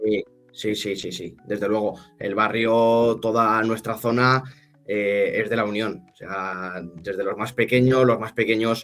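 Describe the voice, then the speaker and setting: Very slow delivery from a man with a fairly low pitch and fairly even intonation. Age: 20s. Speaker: football club representative, former player. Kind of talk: interview. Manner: halting, many repetitions.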